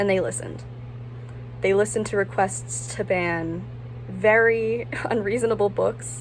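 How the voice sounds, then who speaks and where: A woman with an American accent, speaking at a fairly slow pace with long, frequent pauses over noticeable background noise. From Ocean City, US. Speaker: recent high school graduate. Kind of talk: personal statement to camera. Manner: some stuttering.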